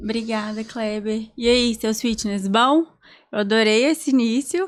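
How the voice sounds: A woman with a fairly high pitch speaks at a fairly slow pace with ordinary pitch variation on a very clean recording with a silent background.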